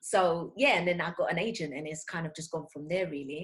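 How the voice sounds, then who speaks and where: Speaking with a London accent, a woman moves at a fairly quick pace. Her pitch varies in an ordinary way. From London, Tottenham. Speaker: voice over actor and English teacher. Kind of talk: interview.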